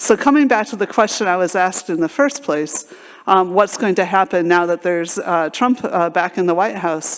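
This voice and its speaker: A woman's medium-pitched voice with lively intonation at a moderate pace. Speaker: scientist, conference speaker. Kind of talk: conference talk. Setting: stage at a conference. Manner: halting, many fillers.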